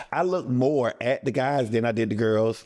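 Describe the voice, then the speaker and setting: A man with an unremarkable speaking voice talks at a moderate pace. His pitch shows ordinary variation. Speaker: talk show cast member, military veteran. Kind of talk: casual interview.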